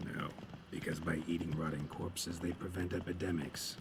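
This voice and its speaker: Over loud background noise, a man performs a put-on character voice pitched very deep and low. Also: moderate pace. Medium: video game. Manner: terse, deadpan, dry.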